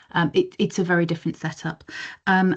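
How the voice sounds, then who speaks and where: A woman's medium-pitched voice, flat and monotone in intonation, at a moderate pace against a quiet background. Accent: English. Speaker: community paediatric nursing service manager. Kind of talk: professional discussion in online meeting. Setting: video call.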